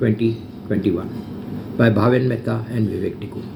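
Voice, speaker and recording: Man speaking at a moderate pace, with audible room echo and noticeable background noise. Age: 60s. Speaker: social media vlogger. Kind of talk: personal video update. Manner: emotional, repetitive.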